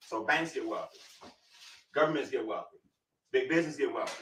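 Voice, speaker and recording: At a fairly quick pace, a man is talking. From Atlanta, US South. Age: 40s. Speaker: financial educator. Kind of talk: seminar presentation. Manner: fast; call-and-response, interactive.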